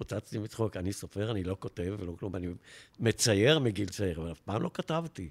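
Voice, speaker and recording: This man has an ordinary speaking voice, a fairly low pitch and lively intonation at a fairly quick pace. The very clean recording has a silent background and a dry, close sound with no echo. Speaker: retired advertising executive. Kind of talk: interview storytelling.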